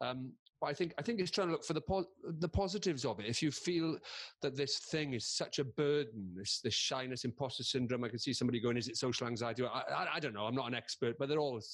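This voice has a Welsh accent and lively intonation. The pace is fairly quick. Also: man. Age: 50s. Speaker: comedian and presenter. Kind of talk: casual chat.

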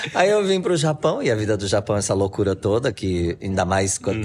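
A man speaks at a fairly quick pace with a fairly low pitch. Noticeable background noise sits behind him. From Brazil. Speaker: artisan and Japanese teacher. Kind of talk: interview.

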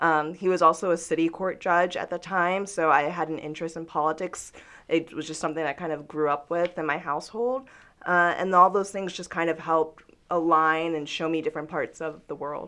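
Against a quiet background, a woman with an American accent speaks at a fairly quick pace and fairly low pitch, her tone bright and sharp and her intonation fairly even. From US South, Georgia (Newnan). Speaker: digital news producer. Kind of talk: interview conversation.

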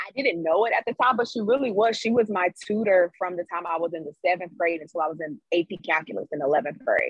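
With hardly any pauses, a woman with an American accent and a plain, everyday voice speaks at a medium pitch and a fairly quick pace, her intonation lively. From US South, Greensboro, North Carolina. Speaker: electrical engineer. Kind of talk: interview.

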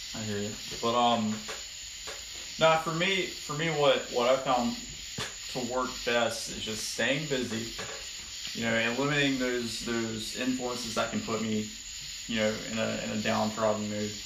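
A medium-pitched man at a moderate pace, with long, frequent pauses, ordinary pitch variation and noticeable background noise. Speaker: podcast guest. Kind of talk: casual chat. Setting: home garage, phone recording. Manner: quiet on recording.

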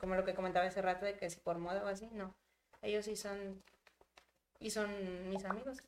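A woman speaks in a monotone, flat way. Her speech has long, frequent pauses. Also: medium pitch for a woman. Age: 20s. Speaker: content creator. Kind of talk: casual chat. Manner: talkative.

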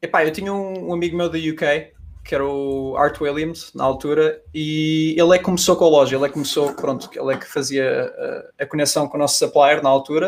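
A man with a plain, everyday voice, fairly high pitch and fairly even intonation at a fairly quick pace. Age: 20s. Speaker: e-commerce agency founder. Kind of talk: casual chat.

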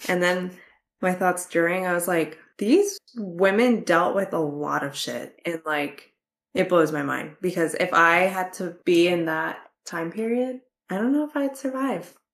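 A woman's ordinary speaking voice at a medium pitch, with lively intonation and a fairly slow pace. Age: 20s. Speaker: book podcast co-host. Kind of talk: casual chat.

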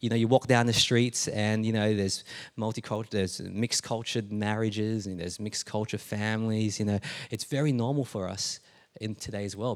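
Recorded very cleanly against a silent background, a man talks at a fairly quick pace with a fairly low pitch and fairly even intonation. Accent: Australian. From Australia (Melbourne, born Adelaide). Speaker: pastor. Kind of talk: sermon. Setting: church.

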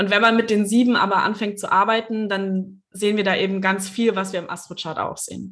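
A woman speaks at a fairly quick pace with hardly any pauses. Her medium-pitched voice has a monotone, flat intonation. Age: 20s. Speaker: Reiki master and astrologer. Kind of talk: casual interview.

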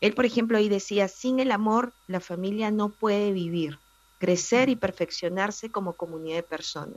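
A woman's unremarkable speaking voice at a medium pitch and moderate pace, with ordinary pitch variation. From Peru, Lima. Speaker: family columnist. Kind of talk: radio interview.

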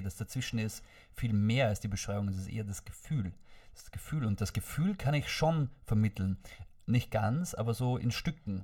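Somewhat breathy male voice at a moderate pace. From Austria, Vorarlberg. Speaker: podcast guest. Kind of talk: casual chat. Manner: stammering.

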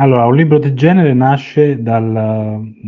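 A man talks with fairly even intonation. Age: 40s. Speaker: university communications director, lecturer and author. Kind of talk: interview. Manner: halting.

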